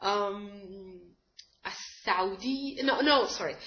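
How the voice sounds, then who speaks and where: A woman with an Arabic accent and lively intonation. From Egypt. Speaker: language teacher. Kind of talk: tutorial. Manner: halting, many fillers. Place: home room. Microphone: webcam.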